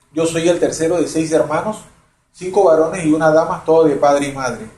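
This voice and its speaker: With audible room echo, a man speaks fairly quickly at a fairly high pitch, his intonation fairly even. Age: 60s. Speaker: retired banker. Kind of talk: testimony.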